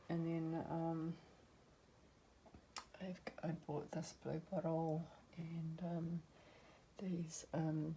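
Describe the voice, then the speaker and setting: A woman speaks very slowly in a fairly low, dark, mellow voice that is somewhat breathy. Her intonation is monotone and flat, with long, frequent pauses. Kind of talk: casual talk to camera.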